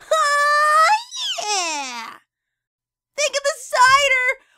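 A female-sounding voice performs a put-on character voice. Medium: voice reel. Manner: brash, energetic.

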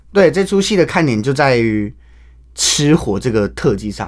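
Against a quiet background, a man talks at a medium pitch with a Taiwanese accent. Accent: Taiwanese Mandarin. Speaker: Peking opera actor; young opera actor guest. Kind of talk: radio interview; event promotion. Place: studio. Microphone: studio mic.

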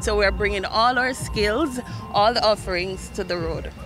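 With music in the background, a woman talks at a moderate pace with ordinary pitch variation in a dry sound with no echo. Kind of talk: interview answer. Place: street. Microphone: handheld.

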